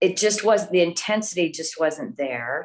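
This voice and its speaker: In an ordinary speaking voice, a woman with fairly low pitch talks at a moderate pace with ordinary pitch variation. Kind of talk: interview answer.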